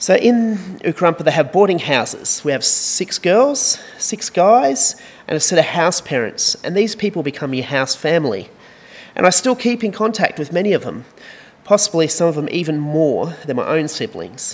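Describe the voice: Big pitch swings and a slightly husky edge run through this voice at a moderate pace. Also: man, fairly high pitch for a man.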